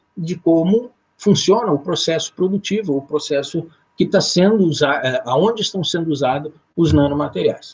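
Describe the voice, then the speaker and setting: Using lively intonation, a man with a southern Brazilian accent speaks at a moderate pace. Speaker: occupational safety lecturer. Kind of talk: lecture. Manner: halting, many fillers.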